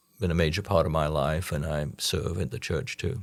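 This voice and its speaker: A man's very deep, low voice with vocal fry. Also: very clean recording, silent background. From Trinidad. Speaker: podcast guest, business consultant and community leader. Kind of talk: interview answer.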